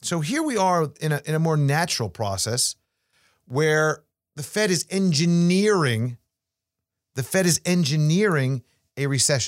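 A man with a New York accent speaks fairly slowly in a fairly high voice with lively intonation and long, frequent pauses, recorded dry and close with no echo on a very clean, silent background. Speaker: financial podcast host and investment advisor. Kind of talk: casual monologue on finance.

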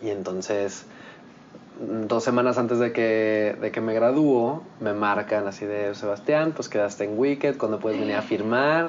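Speaking at a fairly slow pace, a man uses a medium pitch with ordinary pitch variation over noticeable background noise. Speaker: musical theatre actor. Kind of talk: casual interview. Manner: animated.

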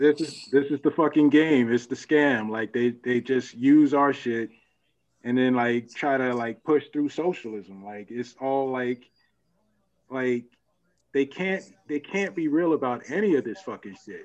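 A man talks at a fairly slow pace with ordinary pitch variation in an ordinary speaking voice. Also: medium pitch for a man. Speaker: panelist and YouTube commentator. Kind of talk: casual panel discussion.

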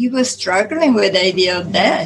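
A woman with an Italian accent speaks at a medium pitch with ordinary pitch variation. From Italy. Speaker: author. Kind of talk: interview.

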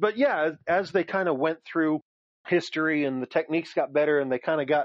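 A man at a fairly high pitch and fairly quick pace, in a dry, close sound with no echo. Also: fairly even intonation.

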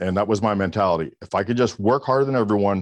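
Over a quiet background, a man talks in a fairly low pitch. His is an unremarkable speaking voice. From US South, Miami area, Florida. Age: 50s. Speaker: keynote speaker and real estate trainer. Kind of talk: interview.

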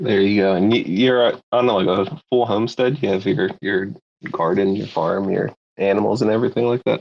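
This man has an unremarkable speaking voice, fairly low in pitch, with ordinary pitch variation and a moderate pace. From Philadelphia, US. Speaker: NFT community member. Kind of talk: casual chat.

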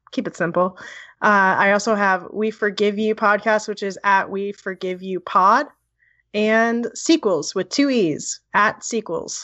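A woman with an American accent and a normal speaking voice talks at a fairly slow pace, medium in pitch with ordinary pitch variation. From US Northeast, New Jersey (Edison). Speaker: podcast co-host and film editor. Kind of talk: casual chat.

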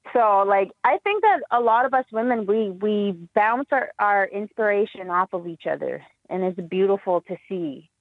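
A woman talks in a normal speaking voice at a moderate pace. Her pitch is medium, with ordinary variation. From Saskatchewan, Canada. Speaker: hip hop artist. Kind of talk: casual interview.

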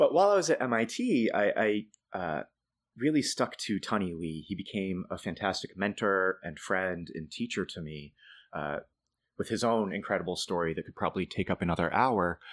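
Talking in an American accent, a man with a normal speaking voice and fairly low pitch uses lively intonation at a moderate pace on a very clean recording with a silent background. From Boston area, Massachusetts, US. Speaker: storyteller and affordable housing planner. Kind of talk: casual interview conversation.

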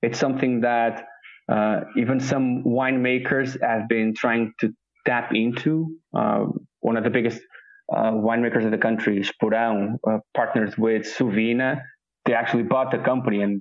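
A man at a medium pitch talks at a fairly slow pace with monotone, flat intonation and very even loudness. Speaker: food tour founder. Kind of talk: interview. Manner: hesitant, filler-heavy.

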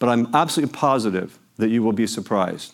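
Speaking at a fairly quick pace, a man with an American accent and medium pitch has an unremarkable speaking voice. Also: very clean recording, silent background. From Los Angeles, US. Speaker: charity executive, keynote speaker. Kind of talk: speech to breakfast audience.

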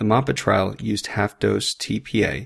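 On a very clean recording with a silent background, a man speaks at a fairly low pitch with vocal fry. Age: 30s. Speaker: emergency physician, military doctor, podcast host. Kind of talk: medical lecture podcast. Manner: clear, instructional.

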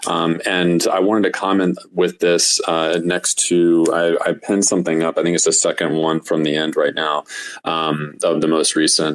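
A man at a moderate pace and very even loudness, with noticeable background noise. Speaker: digital artist. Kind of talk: casual chat. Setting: online audio room.

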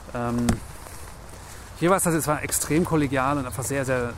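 A man's fairly high voice at a moderate pace with fairly even intonation and long, frequent pauses, amid audible room echo and noticeable background noise. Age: 30s. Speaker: TV screenwriter and showrunner. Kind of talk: casual interview chat. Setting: outdoors walking in park in rain.

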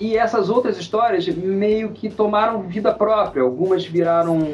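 A man's voice with noticeable background noise. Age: 50s. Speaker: writer. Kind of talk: casual interview.

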